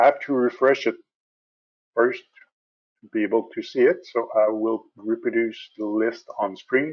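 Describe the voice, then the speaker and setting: A man with a French Canadian accent at a moderate pace, with long, frequent pauses, big swings in loudness and a quiet background. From Quebec. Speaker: software support specialist; software trainer. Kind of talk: tutorial. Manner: hesitant, many fillers.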